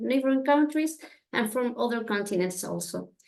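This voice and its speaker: A woman with a Spanish accent talks at a fairly high pitch. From Chile. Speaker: family history intern presenter. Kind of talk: presentation. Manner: halting.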